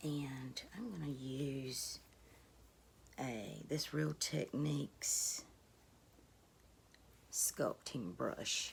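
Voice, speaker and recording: A woman speaks at a very slow pace with a very deep, low pitch and vocal fry. Her pitch variation is ordinary, and her pauses are long and frequent. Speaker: beauty YouTuber. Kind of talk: casual talk to camera.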